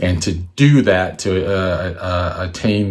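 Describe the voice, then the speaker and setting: A man speaks with a fairly low pitch. His intonation rises and falls in an ordinary way. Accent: American. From Washington, D.C., US. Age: 60s. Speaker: artist and photographer. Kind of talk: presentation. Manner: halting, many fillers.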